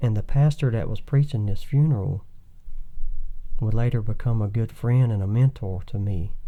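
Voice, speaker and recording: A soft-spoken man with a Southern US accent talks at a moderate pace in a medium pitch. His dark, mellow tone is somewhat breathy, with ordinary pitch variation. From Thomasville, Georgia. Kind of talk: interview answer.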